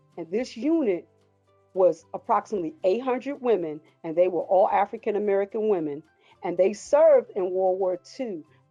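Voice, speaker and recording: Over music in the background, a woman of medium pitch speaks at a moderate pace in an enthusiastic tone with lively intonation. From Paterson, New Jersey. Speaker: retired Army sergeant, museum volunteer. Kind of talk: interview answer.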